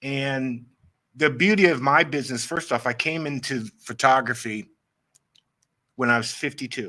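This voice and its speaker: With an American accent and a bright, sharp tone, a man at medium pitch speaks at a moderate pace, with ordinary pitch variation and long, frequent pauses. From Maryland eastern shore, US. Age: 60s. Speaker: professional photographer. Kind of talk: interview chat.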